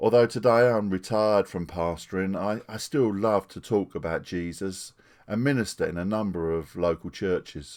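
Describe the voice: Here a man talks with a low pitch. His tone is slightly mellow. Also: ordinary pitch variation, moderate pace.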